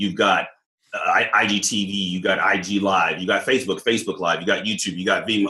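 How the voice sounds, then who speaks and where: Speaking at a fairly quick pace with an American accent, the voice has a bright, sharp, animated tone. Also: man. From Southern California. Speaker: leadership coach, former police officer. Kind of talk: casual interview chat.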